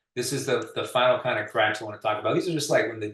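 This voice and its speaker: This voice is somewhat breathy. Its pitch variation is ordinary. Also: man. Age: 60s. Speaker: pavement contractor, expert speaker. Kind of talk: webinar presentation. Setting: online webinar. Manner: casual, with many fillers.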